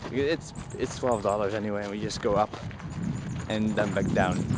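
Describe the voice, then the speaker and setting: The sound is dry with no echo, though noticeable background noise is present. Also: man. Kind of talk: casual vlog chat. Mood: dry, joking. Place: street. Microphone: phone near.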